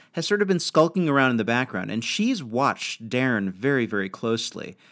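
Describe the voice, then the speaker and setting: An American-accented man speaks at medium pitch with very wide pitch swings on a very clean recording with a silent background. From New York. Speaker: podcast co-host. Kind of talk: casual chat.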